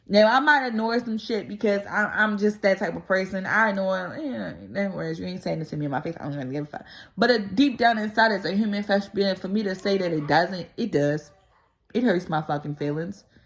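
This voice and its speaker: Speaking at a fairly quick pace, a woman with a medium pitch uses an animated tone and lively intonation. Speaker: vlogger. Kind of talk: casual monologue. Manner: loud.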